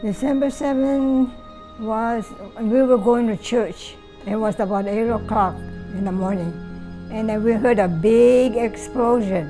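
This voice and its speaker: A woman speaks at a fairly slow pace with a fairly high pitch. Long pauses come often, and music plays in the background. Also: ordinary pitch variation. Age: 80s+. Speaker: Pearl Harbor attack witness. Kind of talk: interview answer.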